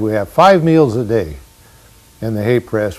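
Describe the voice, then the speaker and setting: Talking at a fairly slow pace, a man with a Californian accent uses lively intonation. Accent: Californian American English. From Fremont area, Northern California. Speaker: rancher. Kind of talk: oral history interview. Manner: hesitant, frequent uh fillers.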